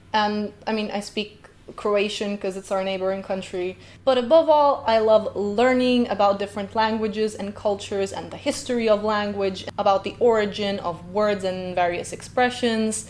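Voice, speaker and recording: In a very clean recording with a silent background, a woman with a Slovenian accent talks at a moderate pace at a medium pitch. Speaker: linguist reaction youtuber. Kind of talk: reaction video commentary. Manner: animated.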